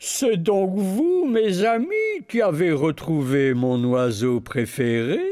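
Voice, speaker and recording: Speaking very slowly, the put-on character voice swings very widely in pitch. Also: man, high pitch for a man. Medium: read story. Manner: warm, benevolent.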